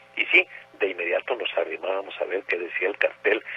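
A man talks with noticeable background noise behind him, keeping a moderate pace. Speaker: radio host. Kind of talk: radio nostalgia show.

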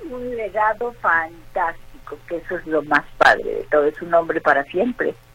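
A woman's fairly high voice at a fairly slow pace, with big swings in loudness and music in the background. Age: 60s. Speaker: actress. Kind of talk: interview.

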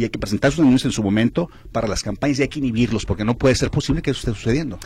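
Somewhat breathy and medium in pitch, a man speaks with ordinary pitch variation. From Guadalajara, Mexico. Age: 50s. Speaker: politician, former mayor. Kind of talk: radio interview. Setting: radio studio.

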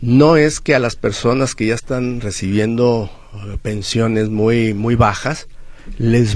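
A man's medium-pitched voice at a very slow pace, with ordinary pitch variation and audible room echo. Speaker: social security expert, accountant. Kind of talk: radio interview, legal advice. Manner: halting, with repetitions.

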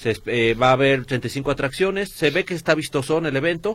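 This man has a normal speaking voice. His pitch sits fairly high. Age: 40s. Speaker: radio co-host. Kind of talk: casual chat.

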